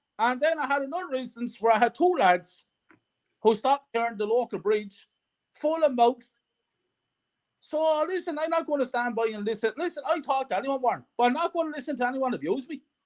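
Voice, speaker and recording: An animated man with a Wexford Irish accent, extremely high-pitched, fairly quick, with ordinary pitch variation and a dry, close sound without echo. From Ireland, County Wexford. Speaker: football fan. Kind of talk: casual interview chat.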